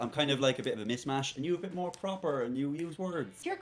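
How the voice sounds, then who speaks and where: Through noticeable background noise, a man talks at a very fast pace, fairly high in pitch, with ordinary pitch variation. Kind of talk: less pronounced, less formal than the other speaker.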